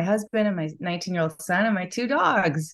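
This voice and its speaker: A woman with an American accent speaks at medium pitch with lively intonation, in an unremarkable speaking voice. The background is quiet. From US Midwest, Chicago. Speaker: yoga teacher and wellness business owner. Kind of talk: casual interview chat.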